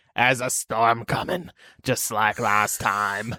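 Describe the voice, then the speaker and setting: A man's raspy, put-on character voice at a medium pitch and fairly slow pace, in a very clean recording with a silent background. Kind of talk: put-on impression.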